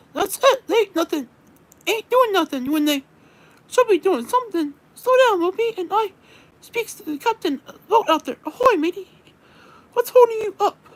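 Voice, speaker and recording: Using a put-on character voice, a woman talks at an extremely high pitch. Her pace is moderate, broken by long, frequent pauses. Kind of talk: casual, sailor slang.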